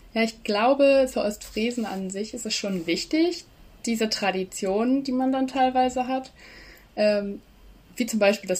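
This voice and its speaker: A woman with ordinary pitch variation. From East Frisia, Leer area. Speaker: student, social media creator. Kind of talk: casual interview. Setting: video call.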